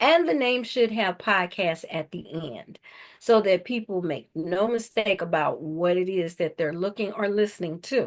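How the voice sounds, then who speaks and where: Against a quiet background, a woman talks at a moderate pace in a plain, everyday voice, medium in pitch with ordinary pitch variation. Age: 60s. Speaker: podcast host. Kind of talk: interview.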